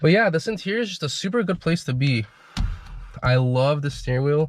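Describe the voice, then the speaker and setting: A man's somewhat breathy voice moves at a fairly quick pace. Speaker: car enthusiast owner. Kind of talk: casual car review to camera. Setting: in car.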